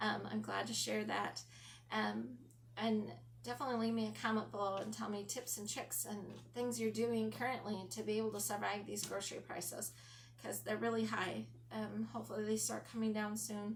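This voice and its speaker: Recorded with audible room echo and noticeable background noise, a woman talks at a fairly quick pace. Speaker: lifestyle vlogger. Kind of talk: casual talk to camera. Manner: frequent ums, hesitant.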